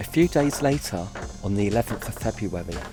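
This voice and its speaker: Fairly low male voice at a moderate pace, with music in the background. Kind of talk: documentary narration.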